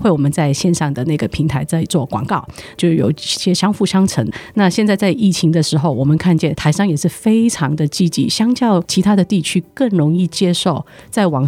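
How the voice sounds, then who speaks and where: A woman speaks with a Hong Kong accent and lively intonation. Her loudness stays very even. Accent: Hong Kong accent in Mandarin. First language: Cantonese (speaking Chinese). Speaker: trade promotion executive. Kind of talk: interview. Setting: studio.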